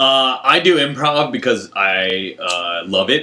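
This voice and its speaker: Loud and bright, sharp in tone, a man with a General American accent speaks at medium pitch and a very slow pace with lively intonation. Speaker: improv comedian. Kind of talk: casual chat. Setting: home bedroom.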